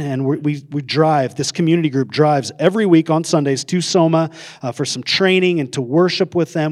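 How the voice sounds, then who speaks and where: The speaker has an American accent, ordinary pitch variation and a moderate pace. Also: man. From northern Idaho, US. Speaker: pastor. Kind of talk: sermon. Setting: church. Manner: halting.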